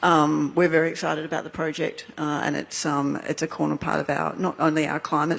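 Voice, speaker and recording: The speaker talks at a fairly quick pace in an Australian accent. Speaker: energy company executive. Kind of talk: panel discussion.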